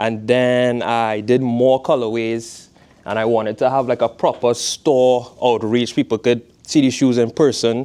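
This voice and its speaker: In a Trinidadian accent, a man with a medium pitch speaks at a fairly slow pace against a quiet background. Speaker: fashion designer, footwear brand founder. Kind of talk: guest talk to a class. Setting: classroom. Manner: casual.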